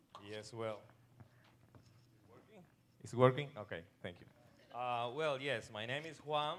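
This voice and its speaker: A man with a non-native accent, medium-pitched, at a fairly slow pace, with long, frequent pauses, big swings in loudness, ordinary pitch variation and audible room echo. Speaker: pastor. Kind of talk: church talk. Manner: halting.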